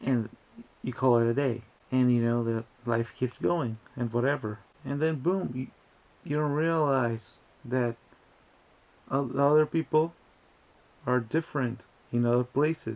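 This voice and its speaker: A man with a Spanish accent speaks at a fairly slow pace, taking long, frequent pauses. His pitch varies in an ordinary way. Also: medium pitch for a man. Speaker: YouTuber. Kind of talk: casual commentary video. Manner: halting, with many restarts.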